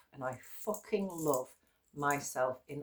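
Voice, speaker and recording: With an English accent, a woman talks at a fairly slow pace in a very deep, low voice with ordinary pitch variation. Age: 50s. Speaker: yoga teacher. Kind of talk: casual vlog talk. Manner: low energy.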